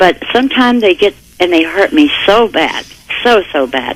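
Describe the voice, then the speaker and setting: A woman with lively intonation against noticeable background noise. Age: 60s. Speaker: caller. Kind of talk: phone-in call. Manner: halting.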